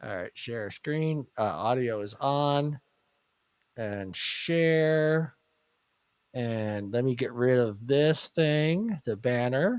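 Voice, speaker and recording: The sound is dry and close with no echo. A man speaks in a medium pitch at a very slow pace, with ordinary pitch variation. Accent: American. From US East Coast. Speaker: podcast host. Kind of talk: casual chat.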